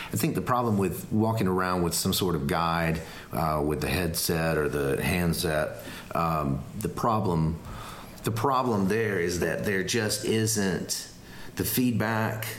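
With noticeable background noise, a man with a very deep, low voice speaks at a fairly slow pace, with ordinary pitch variation and very even loudness. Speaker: podcast co-host. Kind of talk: casual chat. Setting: Airbnb, recorded live.

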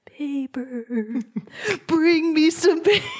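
A put-on character voice at a high pitch. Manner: spooky, ghostly.

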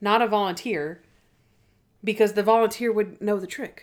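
A woman speaks at a medium pitch. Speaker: podcast host. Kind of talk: casual chat, TV show review podcast.

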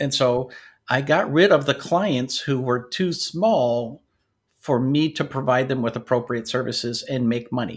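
A man with an American accent speaks at a moderate pace in a somewhat breathy voice of medium pitch with ordinary pitch variation. The recording is very clean, with a silent background. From US, North Dakota and Washington State. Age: 60s. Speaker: IT business owner and author. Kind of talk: interview.

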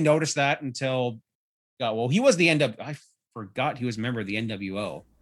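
A man speaks with a Canadian accent in a normal speaking voice. His pace is moderate and his intonation lively. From Canada. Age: 30s. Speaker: wrestling podcaster. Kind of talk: casual chat.

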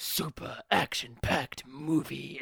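A put-on character voice, gravelly and raspy, at a fairly slow pace. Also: man, fairly high pitch for a man.

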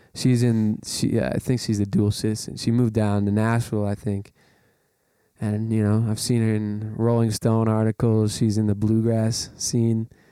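On a very clean recording with a silent background, a man talks at a moderate pace in a fairly low, dark, mellow tone. His delivery is monotone and flat, with very even loudness. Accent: Canadian. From Calgary, Alberta, Canada. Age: 20s. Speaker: blues guitarist and singer-songwriter. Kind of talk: casual interview chat.

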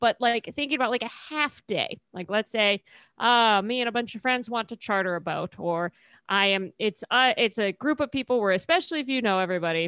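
Fairly quick and fairly high, a woman speaks in a normal speaking voice. The recording is very clean, dry and close, with a silent background and no echo. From California. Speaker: podcast co-host. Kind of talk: casual chat.

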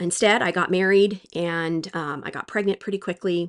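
With an ordinary speaking voice and a fairly low pitch, a woman speaks at a moderate pace in a dry, close sound with no echo against a quiet background. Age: 40s. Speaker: childbirth educator and former nurse. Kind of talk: solo podcast monologue.

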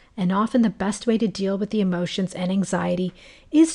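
Against a quiet background, a woman speaks in a somewhat breathy voice with a dark, mellow tone. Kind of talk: fervent prayer, spoken to God. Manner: earnest, heartfelt, impassioned; reverent, gentle.

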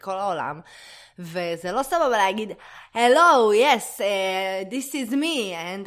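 Her medium-pitched voice moves at a very slow pace. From Israel. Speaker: podcast co-host, performer. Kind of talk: casual chat. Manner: animated.

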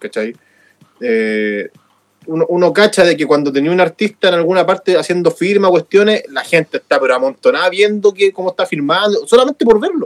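A man's high voice with a Chilean accent, lively intonation and a moderate pace. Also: dry, close sound with no echo. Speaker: radio show co-host. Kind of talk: news reading; casual chat. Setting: studio.

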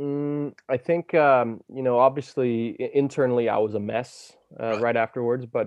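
A man speaks with a Danish accent at a moderate pace. His pitch is medium, with ordinary variation. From Denmark, west coast of Jutland. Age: 20s. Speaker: professional paddleboarder. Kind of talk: casual chat.

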